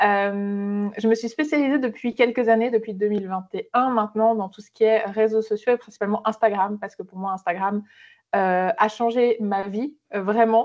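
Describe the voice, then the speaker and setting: Her fairly high-pitched voice carries a slight Swiss French accent. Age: 30s. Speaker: social media entrepreneur. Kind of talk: podcast interview. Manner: hesitant, many fillers.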